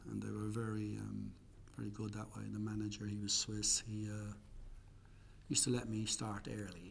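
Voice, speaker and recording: A man with an Irish accent talks at a moderate pace. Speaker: interviewee. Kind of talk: interview.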